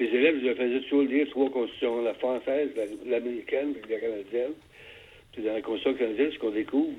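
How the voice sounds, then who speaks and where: Intonation stays fairly even while the words come out very fast. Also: man, medium pitch for a man. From Quebec, Montreal. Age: 80s+. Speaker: retired political scientist. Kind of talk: radio interview. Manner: halting.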